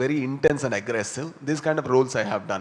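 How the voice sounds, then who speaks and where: Over noticeable background noise, a man with a South Indian accent talks at a fairly quick pace. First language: Tulu. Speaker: film actor and filmmaker. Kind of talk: press conference Q&A. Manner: hesitant, many fillers.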